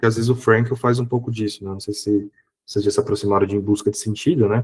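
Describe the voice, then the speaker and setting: Speaking at a very fast pace, a man has a fairly low pitch and fairly even intonation. His voice is somewhat breathy. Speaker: psychologist and professor giving a seminar. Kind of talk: online lecture. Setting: online seminar. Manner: casual, conversational.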